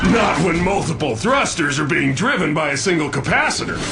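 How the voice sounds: A man puts on a cartoonish character voice with a fairly high pitch. He talks at a fairly quick pace over loud background noise.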